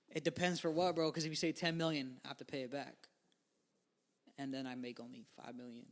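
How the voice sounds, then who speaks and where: A man with an American accent speaks at a fairly quick pace, with long, frequent pauses. His pitch is fairly high with ordinary variation, and his loudness swings widely. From New York. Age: 20s. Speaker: musician. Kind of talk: interview.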